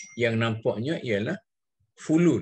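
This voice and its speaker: Against a quiet background, a man speaks at a fairly slow pace, somewhat breathy and with lively intonation. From Malaysia. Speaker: religious scholar leading a text reading. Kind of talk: text reading and explanation. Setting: video call. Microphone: video call.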